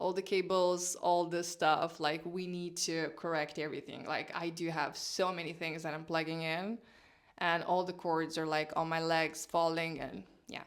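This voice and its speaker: A woman speaks in a non-native accent with monotone, flat intonation. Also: fairly low pitch for a woman, moderate pace. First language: not English. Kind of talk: casual vlog talk to camera.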